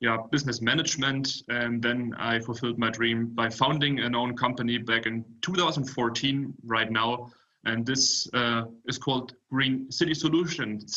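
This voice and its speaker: In an ordinary speaking voice, a man keeps a moderate pace, a medium pitch and fairly even intonation. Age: 20s. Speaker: startup founder. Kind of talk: panel presentation.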